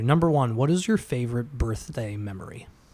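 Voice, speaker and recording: This is an unremarkable speaking voice from a man. He talks at a fairly quick pace with lively intonation. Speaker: restoration company worker and father. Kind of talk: casual chat.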